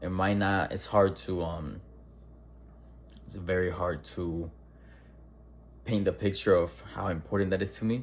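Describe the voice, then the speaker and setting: A fairly slow pace with vocal fry, ordinary pitch variation, and long, frequent pauses. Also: man, very deep, low pitch for a man. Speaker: person who stutters. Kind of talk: casual talk to camera.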